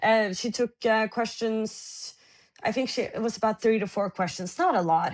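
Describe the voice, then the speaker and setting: Here a woman speaks with a Norwegian accent. Her pitch is fairly high, with ordinary variation. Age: 20s. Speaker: journalist. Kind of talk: interview. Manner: halting.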